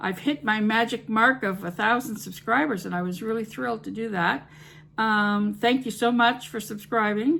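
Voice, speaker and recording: At a moderate pace, a woman speaks in a bright, sharp tone, her fairly high pitch showing ordinary variation. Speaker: home cooking YouTuber. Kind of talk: casual vlog talk to camera. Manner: hesitant, many fillers.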